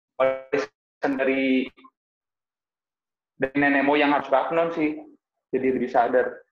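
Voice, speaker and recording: Music plays in the background while the speaker talks at a fairly slow pace. Long pauses come often, and the loudness stays very even. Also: man, medium pitch for a man. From Jakarta, Indonesia (Betawi). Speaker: Betawi culture activist. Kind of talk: casual chat. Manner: animated.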